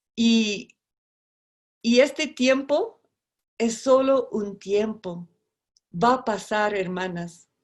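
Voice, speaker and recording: In a very clean recording with a silent background, a woman talks at a very slow pace in a fairly high pitch with ordinary pitch variation, leaving long, frequent pauses. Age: 60s. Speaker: missionary. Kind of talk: sermon. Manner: halting.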